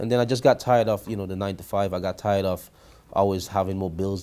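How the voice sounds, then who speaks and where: Speaking at a very fast pace, a man with a Grenadian accent uses a very deep, low pitch, a dark, mellow tone and ordinary pitch variation. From Grenada. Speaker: credit repair business owner. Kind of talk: interview.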